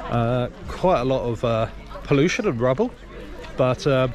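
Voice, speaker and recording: Over noticeable background noise, a man talks with lively intonation in a dry sound with no echo. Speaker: travel vlogger. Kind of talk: casual vlog chat. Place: waterside. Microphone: phone near.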